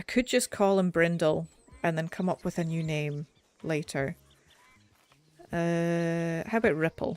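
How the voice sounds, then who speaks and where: Speaking in a British accent, a woman with a fairly low pitch and ordinary pitch variation goes at a fairly slow pace with long, frequent pauses, in a dry, close sound with no echo. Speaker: game streamer. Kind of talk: casual gameplay commentary. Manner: uneven volume, sometimes mumbling; audible breathing. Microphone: mic further away, may be quiet.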